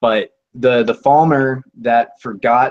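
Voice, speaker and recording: This is a man talking. He has a Colorado accent. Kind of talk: casual chat.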